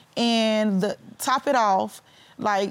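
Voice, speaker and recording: A very clean recording of a woman, the background silent. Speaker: litigant in a TV court case. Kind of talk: courtroom testimony.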